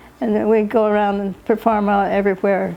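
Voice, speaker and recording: A woman's dark, mellow tone with an American accent, monotone, flat intonation and a fairly quick pace. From Utah, US. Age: 80s+. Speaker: elderly interviewee sharing life story. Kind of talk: family oral history interview. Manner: halting.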